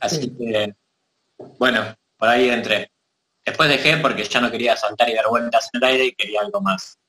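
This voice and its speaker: In a dry, close sound with no echo, a man talks at a moderate pace and medium pitch, with ordinary pitch variation and long, frequent pauses. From Argentina. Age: 30s. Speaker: martial arts teacher. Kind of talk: casual chat.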